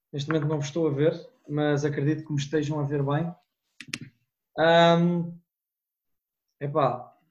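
A somewhat breathy man's voice, fairly high in pitch, fairly slow, with long, frequent pauses and monotone, flat intonation. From Portugal. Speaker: student abroad. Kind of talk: casual chat.

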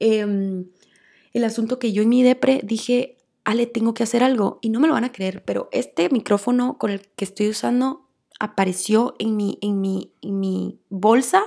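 A woman with a Guatemalan accent speaks at a fairly high pitch in a dark, mellow tone. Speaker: podcast host. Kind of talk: solo monologue, personal story. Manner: fast when excited.

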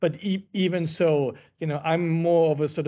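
Speaking with a German accent, a man keeps to a moderate pace. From Germany. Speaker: central bank research economist, podcast host. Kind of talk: interview. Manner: halting, many fillers.

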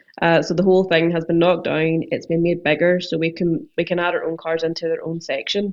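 Monotone and flat, a woman with a Northern Irish accent talks at a fairly low pitch. She keeps a fairly quick pace with hardly any pauses. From Northern Ireland. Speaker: car detailer and window tinter. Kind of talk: casual chat.

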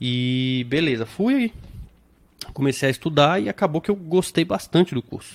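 This man's voice sits fairly high and moves with lively intonation. He keeps a moderate pace, and the sound is dry and close with no echo. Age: 30s. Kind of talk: casual interview with personal testimony.

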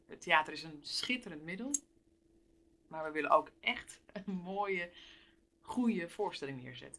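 Bright, sharp tone and lively intonation mark this woman's voice. She speaks at a fairly slow pace. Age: 30s. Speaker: theatre business manager. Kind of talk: interview.

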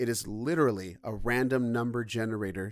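At a fairly quick pace, a man with an ordinary speaking voice talks at medium pitch with fairly even intonation. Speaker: podcast host. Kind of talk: casual chat. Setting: remote call.

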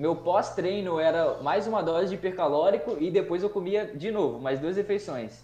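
A man with a high pitch at a moderate pace, against noticeable background noise. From Brazil, Espírito Santo (Cachoeiro). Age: 20s. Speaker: chemistry teacher and nutritionist. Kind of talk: casual chat.

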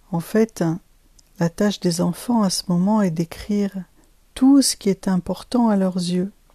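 A woman speaks at a medium pitch, fairly slowly, with a somewhat breathy, dark and mellow tone and ordinary pitch variation. Long, frequent pauses break up her speech in a dry, close recording with no echo. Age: 50s. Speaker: life coach and podcast host. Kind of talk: solo podcast monologue.

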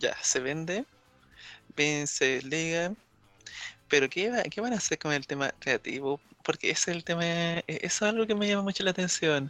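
With music in the background and a dry, close sound with no echo, a man in a Chilean accent talks at a moderate pace in a high pitch, using ordinary pitch variation and long, frequent pauses. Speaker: wrestling podcast panelist. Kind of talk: casual chat.

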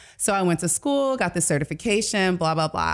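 With an American accent, a woman with an unremarkable speaking voice and fairly low pitch speaks at a fairly quick pace in a very clean recording with a silent background. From Detroit, US. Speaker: life coach. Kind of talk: casual interview.

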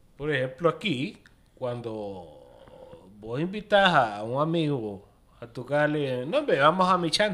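Very slow and bright, sharp in tone, a man's voice moves through very wide pitch swings. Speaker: podcast co-host. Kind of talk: casual chat.

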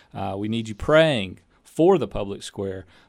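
An ordinary speaking voice from a man at a medium pitch, with ordinary pitch variation, on a very clean recording with a silent background. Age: 30s. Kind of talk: interview. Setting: studio.

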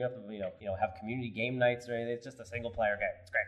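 Amid noticeable background noise, a man with an American accent speaks very fast. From US Northeast (New York). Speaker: game studio co-founder. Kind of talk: casual chat.

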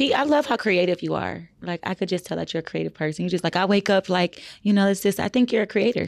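Someone with an American accent talks very fast with vocal fry and hardly any pauses, using ordinary pitch variation. The sound is dry and close with no echo, on a very clean recording with a silent background. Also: woman, medium pitch for a woman. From another US region, far from Texas. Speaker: podcast co-host and realtor. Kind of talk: casual chat.

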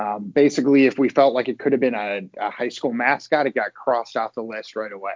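An ordinary speaking voice from a man with an American accent, medium pitch, fairly even intonation and a fairly quick pace. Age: 30s. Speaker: esports team executive. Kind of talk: casual interview chat.

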